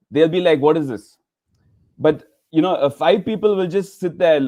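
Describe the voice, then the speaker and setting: A man with a strong Indian accent speaks at a fairly high pitch, and his pitch varies in an ordinary way. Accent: Indian, thick. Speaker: laughter yoga leader. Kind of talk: interview. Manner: halting, many fillers.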